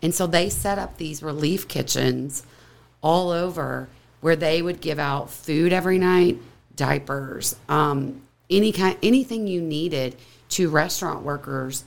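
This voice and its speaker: A woman's very deep, low voice with vocal fry, an American accent, ordinary pitch variation and a fairly slow pace. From Kentucky. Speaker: whiskey blender and distillery co-founder. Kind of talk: casual chat.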